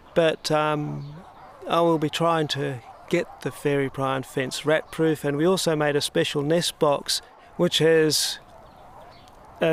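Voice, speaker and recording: Speaking at a fairly slow pace, a man uses a fairly high pitch with monotone, flat intonation. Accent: Australian. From Australia, Sydney. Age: 60s. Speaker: wildlife conservationist. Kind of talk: interview. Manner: casual.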